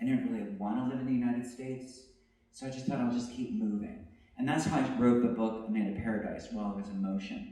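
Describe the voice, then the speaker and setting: Over noticeable background noise, a man with a medium pitch talks at a very fast pace, his intonation fairly even. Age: 50s. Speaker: poet. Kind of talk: public talk. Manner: halting, with self-corrections.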